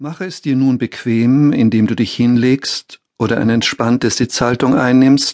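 Recorded with a dry, close sound and no echo, this is a normal speaking voice with fairly even intonation. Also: man. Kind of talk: guided meditation. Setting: audiobook with relaxation music. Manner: very slow, calm, soothing, repeating formulas with long pauses.

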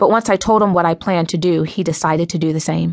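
An ordinary speaking voice at a fairly quick pace, with a quiet background and a dry, close sound with no echo. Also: woman. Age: 30s. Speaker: author narrating own book. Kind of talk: audiobook narration.

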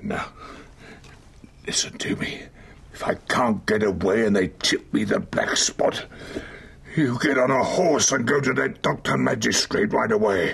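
A raspy man in a put-on character voice talks at a moderate pace with long, frequent pauses over light background noise. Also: medium pitch for a man. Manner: weak, feverish, pleading.

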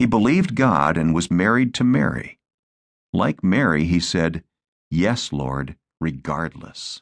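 A man with a very deep, low pitch and vocal fry delivers his words in a solemn, dramatic tone at a fairly slow pace, the sound dry and close with no echo. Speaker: audiobook narrator. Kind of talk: audiobook narration of devotional text with scripture reading. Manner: solemn, reverent, dramatic narration with measured pacing.

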